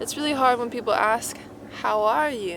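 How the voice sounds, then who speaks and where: A woman's ordinary speaking voice, fairly high in pitch, at a moderate pace. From Arizona. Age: 20s. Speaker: vlogger. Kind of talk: casual talk to camera.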